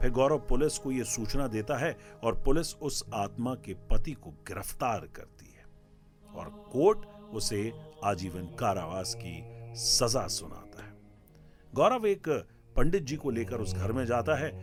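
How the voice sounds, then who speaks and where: Music plays in the background while a man speaks at a medium pitch. His intonation is lively and his loudness swings a lot. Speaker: radio jockey and storyteller. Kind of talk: live musical storytelling, horror story narration. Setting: studio with live keyboard music.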